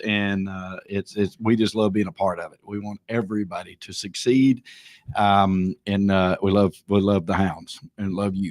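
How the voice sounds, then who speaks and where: A man with a Southern US accent. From US South, small town north of Atlanta, Georgia. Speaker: real estate auctioneer. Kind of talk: tribute speech on livestream. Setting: livestream. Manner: halting.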